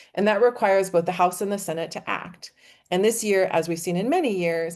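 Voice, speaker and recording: Over a quiet background, a woman talks at a fairly quick pace. Her pitch is medium with ordinary pitch variation. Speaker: policy advocate. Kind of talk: webinar presentation. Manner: fast.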